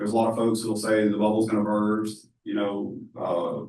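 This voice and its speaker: In a room with audible echo, a man speaks at a fairly quick pace in a fairly low pitch with monotone, flat intonation. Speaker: AI company founder, workshop speaker. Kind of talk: workshop presentation. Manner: loud; casual, filler-heavy.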